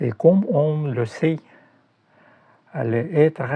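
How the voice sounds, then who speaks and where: A man's somewhat breathy voice with a dark, mellow tone at a very slow pace. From Russia. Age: 60s. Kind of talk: reading aloud. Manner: halting.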